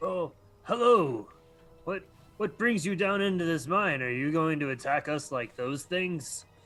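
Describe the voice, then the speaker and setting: A man's put-on character voice at a fairly high pitch and a moderate pace. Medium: actual play.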